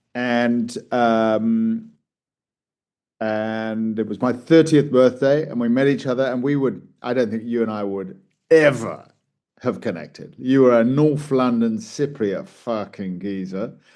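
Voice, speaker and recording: A man talks at a fairly slow pace with medium pitch. His tone is dark and mellow, with ordinary pitch variation. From southern England. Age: 50s. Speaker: coach and public speaker. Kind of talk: casual chat.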